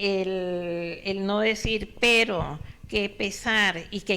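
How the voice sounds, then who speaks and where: A woman speaks in a bright, sharp tone. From Colombia. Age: 70s. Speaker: author. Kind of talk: interview.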